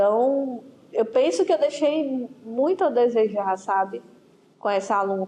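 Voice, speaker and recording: With a high pitch and lively intonation, a woman speaks. Her pace is very slow. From Ceará, Brazil. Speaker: school history teacher. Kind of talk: interview.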